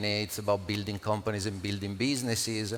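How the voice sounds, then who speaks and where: A man with an Italian accent at a very fast pace. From Italy. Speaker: panel moderator, crypto entrepreneur. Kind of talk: panel discussion.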